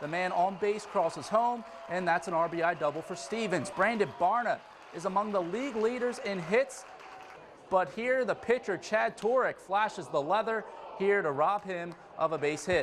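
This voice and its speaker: This man's voice sits high, moves through ordinary pitch variation, and keeps a moderate pace while noticeable background noise carries on behind it. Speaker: sports anchor and reporter. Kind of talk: live sports anchoring play-by-play.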